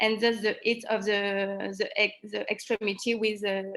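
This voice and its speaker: A woman speaks at a fairly slow pace with a French accent and a fairly high pitch. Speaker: trainee presenter at medical conference. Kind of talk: conference presentation with Q&A. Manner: halting.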